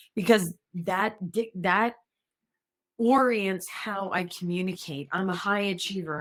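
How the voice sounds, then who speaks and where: A normal speaking voice from a woman at a moderate pace. Her intonation is fairly even. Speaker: former executive assistant, speaker. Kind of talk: podcast interview.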